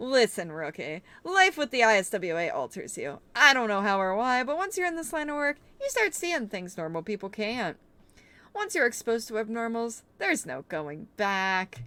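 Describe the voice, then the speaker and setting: A woman's put-on character voice, fairly high in pitch, with very wide pitch swings at a moderate pace. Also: very clean recording, silent background. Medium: game stream. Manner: breezy, joking.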